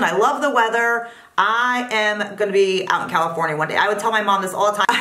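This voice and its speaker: Amid noticeable background noise and audible room echo, a woman with a Northeastern US accent talks at a fairly quick pace in an animated tone. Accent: Northeastern US, often taken for New York. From Pennsylvania, US Northeast. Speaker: beauty vlogger. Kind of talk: casual chat.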